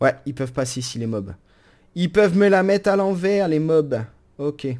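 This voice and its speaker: The man's voice is fairly high, moving at a moderate pace with lively intonation. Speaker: gaming YouTuber. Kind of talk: let's play commentary. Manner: animated.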